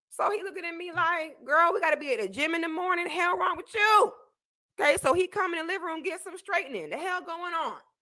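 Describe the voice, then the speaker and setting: The voice is raised and projected, with a bright, sharp tone and an American accent. It sounds animated and very fast, with big swings in loudness. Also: woman, extremely high pitch for a woman, ordinary pitch variation. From Florida. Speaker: YouTuber reacting to a debate clip. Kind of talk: commentary on a replayed clip.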